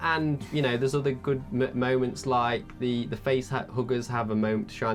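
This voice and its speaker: A man talks at a moderate pace with music playing behind him. His pitch is medium, with ordinary variation. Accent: British. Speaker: film review podcast co-host. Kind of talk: casual chat.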